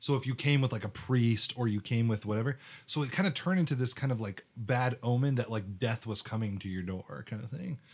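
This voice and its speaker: Somewhat breathy and animated, the voice moves at a fairly quick pace with hardly any pauses and ordinary pitch variation. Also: man, medium pitch for a man. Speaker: podcast co-host. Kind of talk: casual chat about scripture. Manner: animated, jokey.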